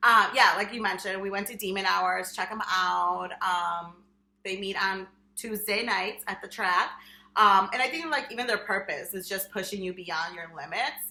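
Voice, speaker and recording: A woman speaks with a Spanish accent. Her pitch is medium. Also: ordinary pitch variation, moderate pace. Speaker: podcast co-host, high school Spanish teacher. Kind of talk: casual chat. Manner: frequent fillers (um, like).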